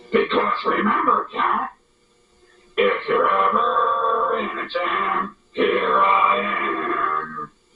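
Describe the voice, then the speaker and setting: A man puts on a character voice at an extremely high pitch. He speaks at a very slow pace with long, frequent pauses. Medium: comedy sketch.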